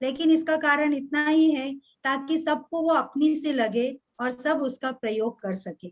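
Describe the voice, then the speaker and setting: In a Kannada accent, a woman speaks at a high pitch. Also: ordinary pitch variation, hardly any pauses. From Karnataka, India; grew up moving around India. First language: Kannada (speaking Hindi). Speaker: Hindi professor. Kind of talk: formal speech at a webinar. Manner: formal, with some hesitations.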